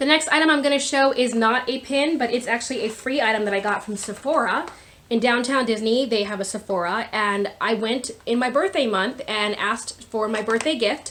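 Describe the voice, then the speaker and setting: A fairly high-pitched woman at a fairly quick pace with hardly any pauses, ordinary pitch variation and noticeable background noise. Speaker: YouTuber showing a shopping haul. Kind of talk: casual haul video talk. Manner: loud; animated.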